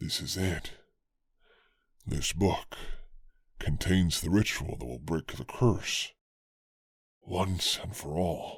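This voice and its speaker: A man's put-on character voice, gravelly and very deep and low, at a very slow pace with long, frequent pauses. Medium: read story.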